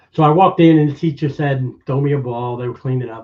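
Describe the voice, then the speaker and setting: Moderate-paced, somewhat breathy speech, the pitch varying in an ordinary way. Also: man. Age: old. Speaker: magician. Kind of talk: testimony in podcast interview.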